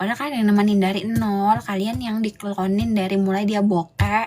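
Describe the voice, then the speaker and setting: This woman's voice is somewhat breathy. Her tone is animated. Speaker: livestream host. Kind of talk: casual livestream rant to viewers. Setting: live stream. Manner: animated, scolding.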